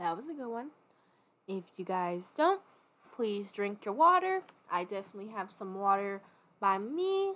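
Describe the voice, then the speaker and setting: Moderate pace, long and frequent pauses, and big swings in loudness. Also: woman, medium pitch for a woman, lively intonation. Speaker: podcast host. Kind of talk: casual monologue. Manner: animated.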